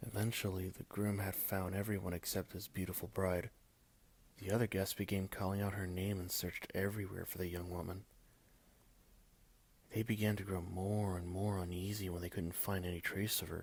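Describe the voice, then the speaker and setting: In a very deep, low voice, a man speaks fairly quickly with monotone, flat intonation. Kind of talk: ASMR scary story reading.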